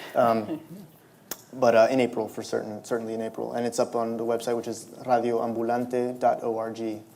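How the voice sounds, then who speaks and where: Audible room echo surrounds a man with a Spanish accent who speaks at a moderate pace in a medium-pitched, monotone voice with flat intonation. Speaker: novelist. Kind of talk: public interview at a library event. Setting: stage with audience. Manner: halting, many repetitions and fillers.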